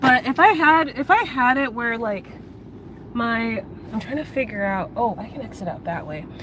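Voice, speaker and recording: Soft-spoken and at a fairly slow pace, a woman talks with lively intonation. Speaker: livestreamer. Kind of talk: casual chat. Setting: in a car. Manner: voice trails off at sentence ends.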